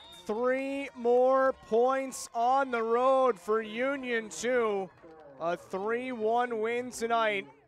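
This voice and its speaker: Music plays in the background as a man speaks at an extremely high pitch. His pace is very slow and his intonation fairly even. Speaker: live match commentator. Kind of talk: live sports commentary, play-by-play call of a soccer match. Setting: stadium broadcast booth.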